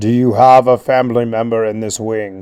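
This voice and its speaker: In a put-on character voice, a man speaks at medium pitch and a moderate pace with monotone, flat intonation. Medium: read story. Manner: polite, formal.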